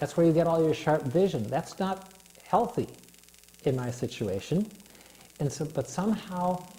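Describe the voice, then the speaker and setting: A man at a moderate pace with very wide pitch swings, over noticeable background noise. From US, moved a lot (11 states, much of it Minnesota). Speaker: guest with visual impairment. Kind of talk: interview. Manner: halting, many fillers.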